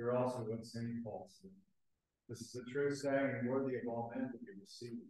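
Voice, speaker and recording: A man speaks at a moderate pace and medium pitch, somewhat breathy, with ordinary pitch variation and big swings in loudness. Strong room echo fills the recording, though the background is quiet. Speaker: priest leading the liturgy. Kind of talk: fervent liturgical prayer, solemn and intoned in archaic prayer-book language. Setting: church. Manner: solemn, formal, earnest, halting in places. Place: church. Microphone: camera far.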